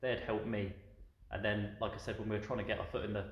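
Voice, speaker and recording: Someone talks at a very fast pace with a southern English accent, with audible room echo around the voice. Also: man. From southern England. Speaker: tea shop owner, ex-military. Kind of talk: casual interview. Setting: in his tea shop.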